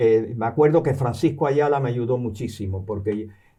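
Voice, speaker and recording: A man speaks at a medium pitch and a moderate pace, in a dark, mellow, somewhat breathy tone. His pitch variation is ordinary, and the background is quiet. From born in New York, partly raised in Cuba and the US, Canarian family. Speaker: professor and novelist. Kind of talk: interview. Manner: halting, many repetitions and fillers.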